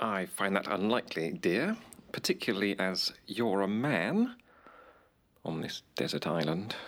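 Using a put-on character voice, a man speaks low in pitch at a fairly slow pace, with a fairly bright tone and big pitch swings.

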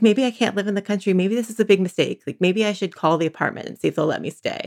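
A woman speaks with a Northern California accent, the sound dry and close with no echo. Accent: Northern California American. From San Francisco, California. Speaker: divorcing mother. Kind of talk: interview. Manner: halting.

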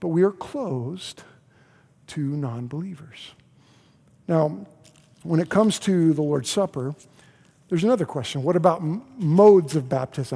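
High-pitched for a man, this voice has a dark, mellow tone and an American accent. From US South, Oklahoma City. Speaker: pastor. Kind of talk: sermon. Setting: church. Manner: repetitive, halting starts.

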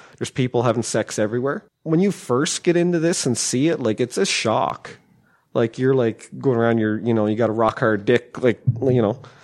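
With a plain, everyday voice, a man speaks at medium pitch and a moderate pace, ordinary pitch variation and very even loudness against a quiet background. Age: 40s. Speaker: podcast guest. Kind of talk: casual chat. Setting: studio.

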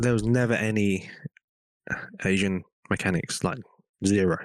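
A man with an English accent talks at a fairly low pitch. The recording is very clean, with a silent background. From England. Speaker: race mechanic. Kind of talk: casual chat.

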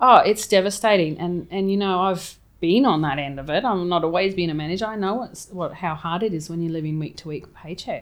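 Fairly quick and with hardly any pauses, a woman speaks with an Australian accent at a fairly low pitch and ordinary pitch variation. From Townsville, Queensland, Australia. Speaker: cafe owner, flood survivor. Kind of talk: interview, personal story.

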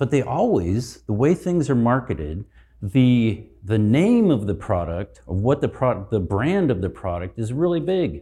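Over a quiet background, a man of medium pitch talks at a fairly slow pace with hardly any pauses, very wide pitch swings, and a dark, mellow tone. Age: 60s. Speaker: marriage and family therapist. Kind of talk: conference talk. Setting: stage with audience.

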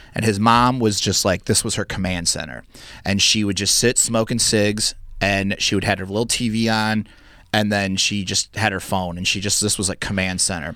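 The recording is very clean, with a silent background, and carries an unremarkable speaking voice. A man speaks at a moderate pace in a fairly low register, his intonation fairly even. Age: 40s. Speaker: stand-up comedian. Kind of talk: casual chat.

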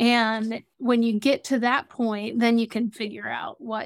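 A woman with an American accent and a plain, everyday voice talks fairly slowly at a fairly high pitch, on a very clean recording with a silent background. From US South (Atlanta, Georgia). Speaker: Salesforce consultant for nonprofits. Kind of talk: interview.

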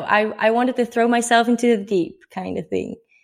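This woman has a Dutch accent. She talks at a moderate pace with ordinary pitch variation. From Netherlands. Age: 20s. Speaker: traveller and blogger. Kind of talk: casual interview.

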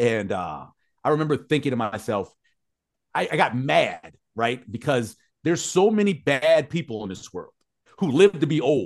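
A man's medium-pitched voice with very wide pitch swings and long, frequent pauses. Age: 50s. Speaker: radio host. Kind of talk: casual chat. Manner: fast talker.

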